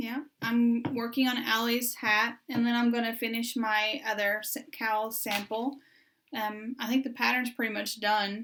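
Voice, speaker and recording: A woman with a Southern US accent speaks slowly-ish, at a fairly slow pace, in a fairly high pitch with a bright, sharp tone and monotone, flat intonation. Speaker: knitting podcast co-host. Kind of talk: casual chat.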